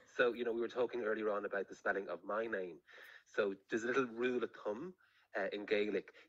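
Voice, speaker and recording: Very fast speech from a man with an Irish accent. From Ireland, County Meath (Navan). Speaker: author and journalist. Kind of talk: interview.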